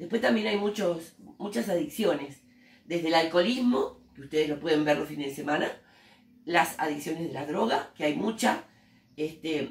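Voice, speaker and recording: With a Rioplatense accent, a woman speaks at a moderate pace in a fairly low pitch, her intonation lively. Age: 60s. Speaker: teacher and human rights activist. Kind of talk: interview. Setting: school interview by students.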